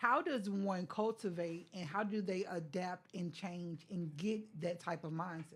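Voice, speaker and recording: A woman speaks at a medium pitch in a somewhat breathy voice, at a fairly slow pace with hardly any pauses. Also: ordinary pitch variation. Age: 50s. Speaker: guest. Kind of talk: casual chat.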